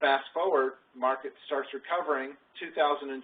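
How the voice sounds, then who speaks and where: A man is speaking at a fairly high pitch. His pitch variation is ordinary. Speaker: financial advisor presenting 401k orientation. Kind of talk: workplace presentation. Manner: fast.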